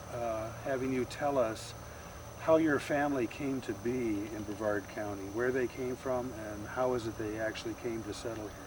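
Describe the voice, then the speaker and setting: The intonation stays fairly even, with noticeable background noise behind it. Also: man. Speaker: oral history interviewer.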